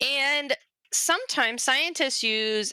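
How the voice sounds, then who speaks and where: A woman with a Southern US accent speaks fairly slowly in an animated, playful, bright and sharp tone. The recording is very clean and silent in the background, with a dry, close sound and no echo. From US South, Arkansas. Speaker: convention panel presenter, zoology educator. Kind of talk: informal educational panel talk. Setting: virtual convention panel livestream.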